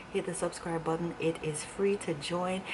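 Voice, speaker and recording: Over noticeable background noise and audible room echo, a woman speaks at a fairly slow pace. Her intonation is monotone and flat. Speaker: beauty and lifestyle vlogger. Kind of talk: casual vlog. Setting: at home, indoors. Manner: whispering.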